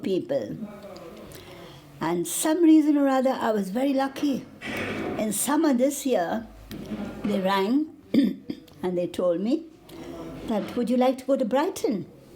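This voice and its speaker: Over noticeable background noise, a woman with a high pitch and very wide pitch swings speaks fairly slowly, with long, frequent pauses. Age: 80s+. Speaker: charity client, pensioner. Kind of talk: documentary interview.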